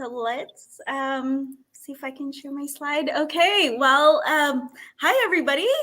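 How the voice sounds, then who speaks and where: A woman's high, bright, sharp voice, raised and projected, with an American accent. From California, US. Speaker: technology consultant. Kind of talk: webinar presentation.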